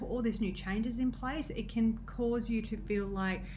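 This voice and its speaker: A woman's fairly high, somewhat breathy voice at a moderate pace, with ordinary pitch variation and audible room echo. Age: 30s. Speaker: nutrition coach. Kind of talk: casual vlog talk. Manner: halting, many fillers.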